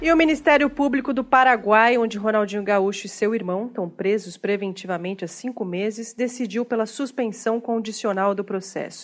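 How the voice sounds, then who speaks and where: A woman with a normal speaking voice, fairly high pitch, moderate pace and hardly any pauses. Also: ordinary pitch variation. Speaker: comedy podcast host. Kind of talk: comedic news satire.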